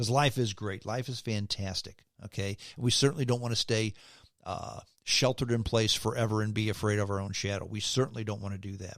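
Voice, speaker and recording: In a very clean recording with a silent background, a man with an ordinary speaking voice talks at a fairly quick pace, with fairly even intonation and a fairly low pitch. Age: 60s. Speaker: podcast host, former radio host. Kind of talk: podcast sign-off; opinion commentary podcast. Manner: casual, conversational.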